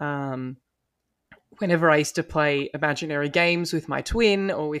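A man with an Australian accent speaks at a moderate pace in a fairly high pitch, his intonation fairly even. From Australia (Melbourne). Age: 20s. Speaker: law student and paralegal. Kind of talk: interview. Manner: articulate.

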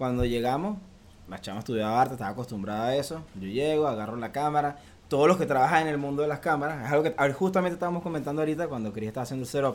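A man with a fairly high pitch talks very fast, his pitch varying in an ordinary way. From Venezuela (Valencia). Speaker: photographer. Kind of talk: interview.

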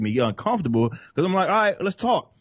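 A man with a Southern accent, very fast and somewhat breathy, with very wide pitch swings. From Dallas, Texas. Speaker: rap metal vocalist and political commentator. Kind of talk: casual interview conversation.

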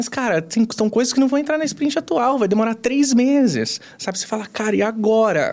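This man's voice sits at an extremely high pitch. He talks at a moderate pace. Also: ordinary pitch variation. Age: 30s. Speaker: customer service director. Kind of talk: interview conversation.

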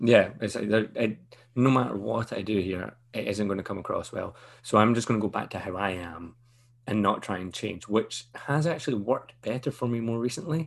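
Speaking at a moderate pace, a man with a Scottish accent has a fairly low pitch and ordinary pitch variation. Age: 30s. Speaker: podcast host. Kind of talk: casual chat.

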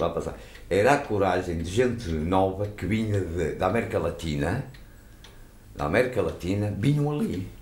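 A man speaks at a moderate pace in a fairly low voice, with lively intonation. He leaves long, frequent pauses, and the room echo is audible. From Portugal, Matosinhos (Leixões). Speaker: former pool caretaker. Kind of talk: interview storytelling.

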